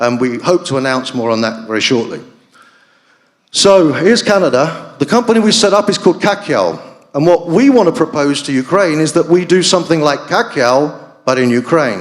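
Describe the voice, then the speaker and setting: Here a man speaks at a fairly high pitch. His voice swings very widely in pitch. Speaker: business executive presenting at a conference panel. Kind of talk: conference presentation. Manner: fast; hesitant, many fillers.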